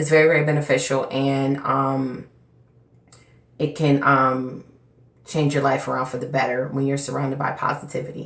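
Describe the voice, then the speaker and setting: Amid audible room echo, a woman speaks at a moderate pace in a very deep, low, monotone, flat voice with long, frequent pauses. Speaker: hair care vlogger. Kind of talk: casual vlog talk. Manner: slightly slurred, tongue-tied.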